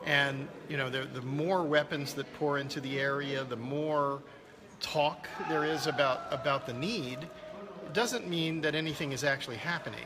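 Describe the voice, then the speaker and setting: A man talking at a moderate pace with ordinary pitch variation, with noticeable background noise and audible room echo. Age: 60s. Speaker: land restoration expert and filmmaker. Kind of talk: interview. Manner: halting, many repeated words.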